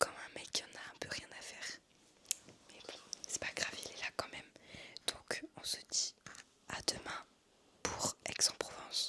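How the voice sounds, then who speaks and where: A woman whispers at a fairly slow pace with long, frequent pauses and big swings in loudness. Background noise is noticeable. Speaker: travel vlogger. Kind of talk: casual vlog chat. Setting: in bed at cousin's house. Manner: hesitant, many fillers; whispering.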